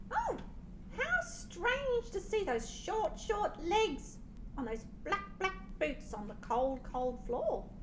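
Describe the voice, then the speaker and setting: A woman puts on a character voice at an extremely high pitch and a very slow pace, with loud background noise behind her. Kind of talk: bedtime story. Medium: read story.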